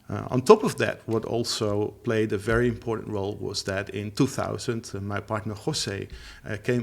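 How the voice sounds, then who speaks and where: With a Dutch accent, the speaker talks with hardly any pauses, fairly even intonation and vocal fry. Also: man. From Netherlands. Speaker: language teacher. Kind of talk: interview. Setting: studio. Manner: halting.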